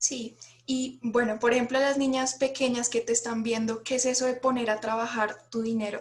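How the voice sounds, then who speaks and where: Her pitch high and her intonation monotone and flat, a woman talks at a fairly quick pace. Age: young. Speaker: content creator. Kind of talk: interview.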